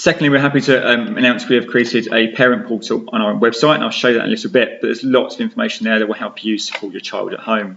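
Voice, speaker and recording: A man with an English accent talks at a very fast pace with hardly any pauses. Noticeable background noise can be heard. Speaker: science teacher. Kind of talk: tutorial.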